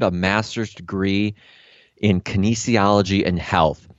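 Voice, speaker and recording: With an American accent, a man speaks in an unremarkable speaking voice. His pitch is fairly low and his pace fairly slow. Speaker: health coach and podcaster. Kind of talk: interview conversation. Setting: video call. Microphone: good microphone.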